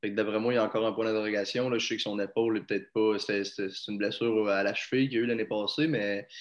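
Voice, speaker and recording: Speaking very fast with a Quebec accent, a man uses a fairly low pitch and a flat, monotone delivery against a quiet background. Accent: Québécois French. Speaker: podcast co-host. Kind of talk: casual sports chat.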